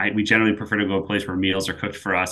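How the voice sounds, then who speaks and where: In a bright, sharp tone, the man talks with an American accent. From US Midwest. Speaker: project manager. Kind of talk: casual chat.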